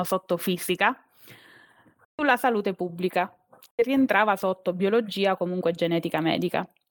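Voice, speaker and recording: A woman uses an ordinary speaking voice at a medium pitch, talking fairly quickly with ordinary pitch variation in a dry, close sound with no echo. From Abruzzo, Italy (Teramo). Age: 30s. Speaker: biologist turned corporate employee. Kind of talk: interview. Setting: live stream.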